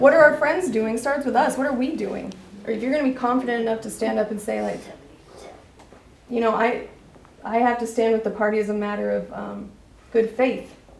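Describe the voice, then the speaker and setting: Fairly quick, fairly high-pitched female speech amid audible room echo and noticeable background noise. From Wyoming, Laramie County area. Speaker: party member at meeting, recovery worker. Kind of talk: meeting discussion. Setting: meeting room. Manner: animated.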